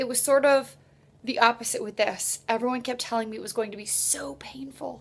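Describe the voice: A woman at a moderate pace, fairly high in pitch, with vocal fry and ordinary pitch variation.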